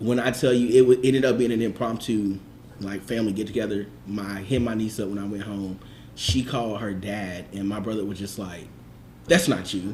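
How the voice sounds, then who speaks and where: Over audible room echo, a man speaks at a fairly quick pace in a somewhat breathy, fairly low voice with fairly even intonation. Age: 30s. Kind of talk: casual chat.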